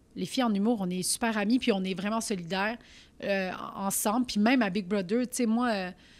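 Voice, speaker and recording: A woman at a fairly quick pace on a very clean recording with a silent background. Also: medium pitch for a woman. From Quebec, Saint-Jean-sur-Richelieu, Turkish family. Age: 30s. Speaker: comedian. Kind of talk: casual chat. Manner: loud; animated.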